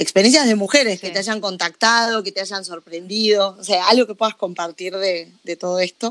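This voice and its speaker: A woman with a Rioplatense accent speaks at a medium pitch and moderate pace, with fairly even intonation and hardly any pauses, in a dry, close sound with no echo. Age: 30s. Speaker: podcast host. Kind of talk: interview.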